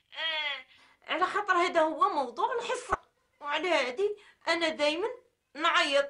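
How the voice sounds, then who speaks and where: Raised and projected, a woman's voice carries a bright, sharp tone and lively intonation at a moderate pace. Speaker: radio caller. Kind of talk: casual phone conversation. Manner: pained talk through toothache. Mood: slightly embarrassed, smiling. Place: home room.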